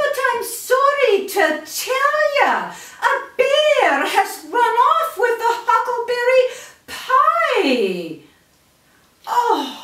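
A woman does a squeaky, cartoonish character voice at an extremely high pitch, with very wide pitch swings, a very slow pace and a slight echo. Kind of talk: puppet show character dialogue. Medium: puppet show. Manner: chatty, fretful. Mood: warm, apologetic.

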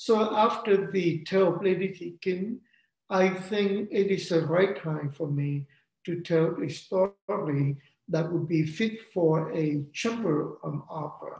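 There is audible room echo as a man speaks at a fairly slow pace against a quiet background. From Vietnam. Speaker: opera composer and librettist. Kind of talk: interview. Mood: calm, reflective. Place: home room. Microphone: video call.

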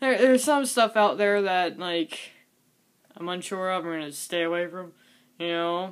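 Moderate pace, long, frequent pauses, big swings in loudness and ordinary pitch variation against a quiet background. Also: woman. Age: 20s. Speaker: cooking vlogger; vlogger. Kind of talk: casual vlog monologue. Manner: halting, repetitive. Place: home room. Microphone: webcam.

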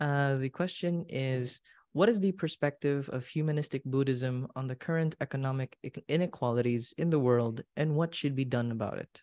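With a Filipino accent, a man speaks at a moderate pace in a fairly high pitch with ordinary pitch variation. His tone is dark and mellow, and the background is quiet. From Philippines. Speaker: event emcee; webinar moderator. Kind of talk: event hosting; moderating, reading audience question. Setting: online livestream. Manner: animated. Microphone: video call.

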